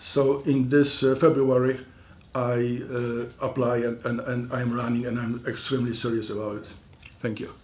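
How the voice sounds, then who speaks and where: With audible room echo, a man with a non-native accent speaks at a medium pitch and moderate pace in a monotone, flat intonation. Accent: foreign. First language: not English. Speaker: school board candidate. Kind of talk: candidate forum statement. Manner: halting, many fillers.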